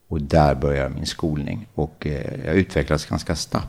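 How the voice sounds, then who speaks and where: Noticeable background noise sits under a man speaking fairly slowly at a very deep, low pitch. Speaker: paralympic athlete and adventurer. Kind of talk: interview, life story. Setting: at his home.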